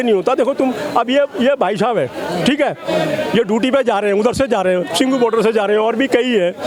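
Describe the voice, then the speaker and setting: A man talks with an extremely high pitch, an animated tone and lively intonation. Noticeable background noise runs underneath. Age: 60s. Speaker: member of the public. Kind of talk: street interview.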